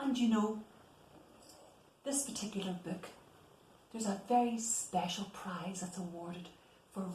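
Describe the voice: Audible room echo surrounds a woman whose slightly mellow tone, moderate pace and ordinary pitch variation come through.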